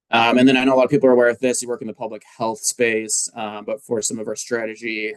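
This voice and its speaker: A man speaks very fast in a monotone, flat intonation, with a dry, close sound and no echo. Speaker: public health presenter. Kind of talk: presentation. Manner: frequent fillers (um, uh).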